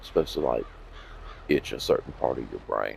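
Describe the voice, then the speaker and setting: This clip features a man. His speech carries a Southern US accent. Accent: southern drawl. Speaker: gaming video creator. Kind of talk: gameplay commentary. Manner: low, lazy-sounding speech.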